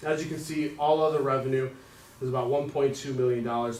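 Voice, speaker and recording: Over noticeable background noise and audible room echo, a man at medium pitch talks at a very fast pace in a monotone, flat intonation. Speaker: school district treasurer. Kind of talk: financial presentation at board meeting. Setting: public board meeting.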